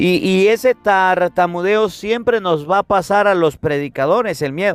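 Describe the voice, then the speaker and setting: A man speaks at a high pitch and a fairly slow pace, with an animated tone and ordinary pitch variation. His loudness stays very even, and the sound is dry and close with no echo. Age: 30s. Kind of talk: sermon.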